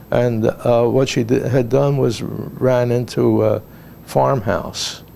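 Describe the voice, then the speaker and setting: A man speaks very slowly. His loudness stays very even throughout. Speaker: war veteran. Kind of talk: oral history interview. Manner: halting.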